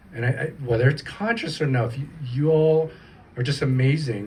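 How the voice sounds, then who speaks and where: Using a normal speaking voice, a man with a fairly high pitch talks at a moderate pace with lively intonation. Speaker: panel moderator, film programs director. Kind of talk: panel moderation at live event. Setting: live event with audience, single microphone.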